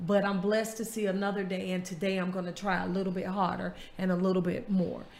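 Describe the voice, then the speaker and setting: Talking at a very fast pace, a woman with an American accent holds a medium pitch in a monotone, flat intonation. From US South, Florida small town. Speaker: podcast host. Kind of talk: casual chat.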